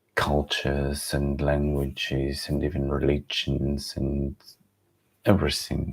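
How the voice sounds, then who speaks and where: Speaking very slowly, a man with a Ukrainian accent uses a very deep, low voice. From Ukraine. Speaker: livestream host. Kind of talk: unscripted reflective livestream monologue. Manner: halting, many repetitions and restarts.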